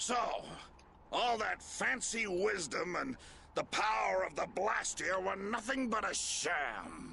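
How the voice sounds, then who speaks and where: A put-on character voice with a menacing tone moves at a fairly slow pace, its loudness very even. The pitch varies in an ordinary way, with clear background noise. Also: man, high pitch for a man. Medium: video game. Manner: blustering, menacing.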